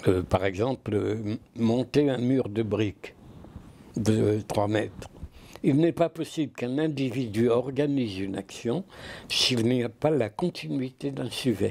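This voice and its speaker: A man at medium pitch, at a very slow pace. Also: ordinary pitch variation. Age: 80s+. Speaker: philosopher. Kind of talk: interview answer. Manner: passionate.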